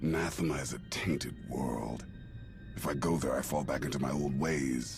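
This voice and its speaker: A man's put-on character voice at a moderate pace over loud music in the background. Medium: video game. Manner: grave, clipped.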